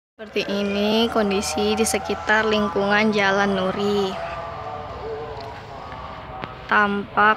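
A woman's monotone, flat intonation with a dry sound, no echo, and noticeable background noise. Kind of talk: casual vlog commentary. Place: street. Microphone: phone near.

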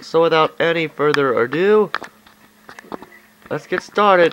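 Through noticeable background noise, a man with a fairly high pitch talks at a fairly slow pace. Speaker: video game commentator. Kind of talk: gameplay commentary. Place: home room. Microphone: phone near.

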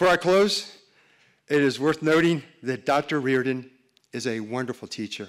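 At a fairly slow pace, a man talks with a fairly high pitch and ordinary pitch variation. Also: quiet background. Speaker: historian. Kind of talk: formal introduction. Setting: stage with audience. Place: stage. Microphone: podium.

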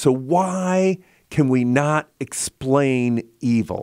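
A man speaks in a dark, mellow tone. It also has a warm tone, against a quiet background. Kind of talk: relaxed radio chat. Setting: radio studio, live broadcast. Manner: conversational, warm, rambling. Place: studio. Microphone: studio mic.

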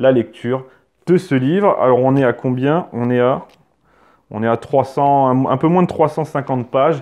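At a fairly slow pace, a man talks in a dark, mellow tone with ordinary pitch variation over a quiet background. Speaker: history educator and YouTuber; history educator, YouTuber. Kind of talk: book review monologue. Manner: hesitant with filler words. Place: home room. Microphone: lapel.

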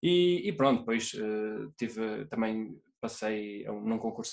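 A man against a quiet background. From Portugal, interior. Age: 20s. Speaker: solo euphonium player. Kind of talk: interview. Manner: halting. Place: home room. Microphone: video call.

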